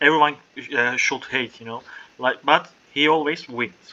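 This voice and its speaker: Fairly high in pitch, a man talks fairly slowly with fairly even intonation while noticeable background noise plays. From Turkey. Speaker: English learner, pastry chef. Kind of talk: casual conversation practice.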